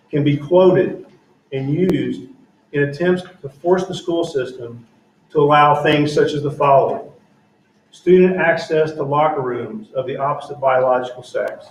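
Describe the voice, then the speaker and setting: A man talks at a moderate pace with a fairly high, somewhat breathy voice and ordinary pitch variation. Audible room echo surrounds him. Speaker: school board member. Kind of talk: public meeting statement.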